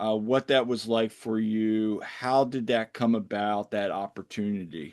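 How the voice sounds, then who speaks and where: At a fairly slow pace, the speaker talks in a normal speaking voice over a quiet background. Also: man. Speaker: podcast host, works at YMCA. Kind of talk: casual podcast conversation.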